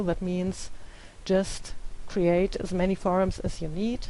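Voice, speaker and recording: In a non-native accent, a woman talks at a fairly slow pace with monotone, flat intonation. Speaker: teacher. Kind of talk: tutorial. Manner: hesitant, many filler sounds.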